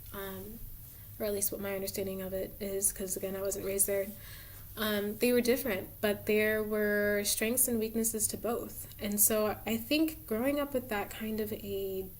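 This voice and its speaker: A woman speaks at a moderate pace with a medium pitch. Her intonation is fairly even, and there is audible room echo. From suburban US, Cameroonian immigrant parents. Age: 20s. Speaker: tarot reader, video creator. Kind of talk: casual monologue. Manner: hesitant, many fillers.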